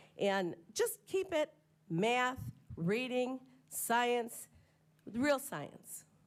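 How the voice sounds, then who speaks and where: A woman speaks very slowly in a high voice, with very wide pitch swings. Long, frequent pauses break up her speech. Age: 70s. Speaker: public commenter. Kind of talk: public comment at board meeting. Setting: school board meeting.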